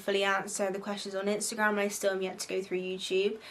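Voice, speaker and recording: Noticeable background noise sits behind this recording. A woman of medium pitch talks at a very fast pace. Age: 20s. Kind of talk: casual advice vlog. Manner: animated.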